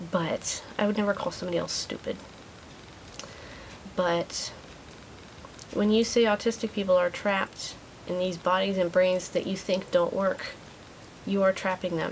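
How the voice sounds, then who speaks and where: Amid noticeable background noise, a woman talks at medium pitch and a moderate pace with fairly even intonation. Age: 30s. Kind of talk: vlog monologue. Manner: stumbles on words sometimes; youthful, teen-like way of talking.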